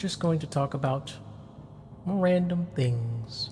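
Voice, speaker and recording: With ordinary pitch variation, a man talks in a somewhat breathy way. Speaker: VTuber. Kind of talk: casual rambling talk for sleep background. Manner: soft-spoken, relaxed.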